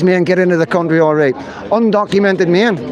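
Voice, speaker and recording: Speaking in a Northern Irish accent, a man has a high voice with ordinary pitch variation. Audible room echo and noticeable background noise fill the recording. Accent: Northern Irish (Belfast). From Northern Ireland, Belfast. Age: 50s. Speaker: livestreamer, citizen journalist. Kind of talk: live street stream commentary. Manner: animated.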